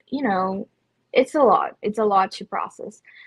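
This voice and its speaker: This woman has a Portuguese accent and a fairly high pitch. Her pitch varies in an ordinary way. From Brazil, São Paulo. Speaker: photographer and business owner. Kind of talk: podcast interview.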